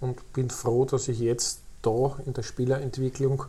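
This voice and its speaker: A man's dark, mellow, somewhat breathy voice. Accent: Lower Austrian. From Lower Austria (Krems area). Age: 50s. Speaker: youth football academy director. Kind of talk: interview. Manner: hesitant fillers.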